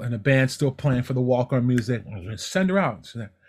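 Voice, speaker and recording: Somewhat breathy, a man's voice comes through on a very clean recording with a silent background. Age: 60s. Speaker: television technical director. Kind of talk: casual chat.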